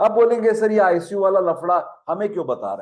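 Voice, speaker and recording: This is a man's voice. His pitch sits high. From Maharashtra, India. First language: Marathi (speaking Hindi). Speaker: Ayurveda professor. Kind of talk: lecture. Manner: conversational, Hindi-English mixed.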